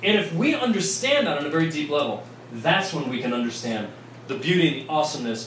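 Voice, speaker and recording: A man's animated tone against noticeable background noise and audible room echo. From Vienna, Virginia, US. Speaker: priest. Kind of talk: talk to a bar audience. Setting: bar with live audience.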